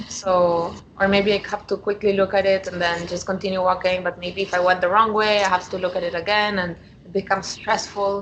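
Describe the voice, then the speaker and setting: Someone with a Spanish accent speaks at a fairly quick pace in a monotone, flat intonation, with noticeable background noise behind. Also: woman, medium pitch for a woman. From Argentina. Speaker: coaching client. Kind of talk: coaching conversation. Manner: hesitant, many fillers.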